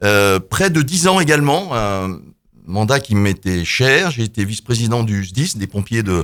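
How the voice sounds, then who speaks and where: A man with a fairly low pitch speaks at a fairly slow pace with very wide pitch swings, in a very clean recording with a silent background. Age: 60s. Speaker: local politician, mayoral candidate. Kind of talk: radio debate self-introduction. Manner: halting, many hesitations.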